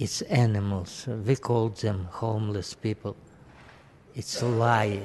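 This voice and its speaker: A man with a medium pitch speaks at a very slow pace. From Soviet Union. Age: 80s+. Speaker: public commenter. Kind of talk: public comment. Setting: city council chamber. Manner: impassioned.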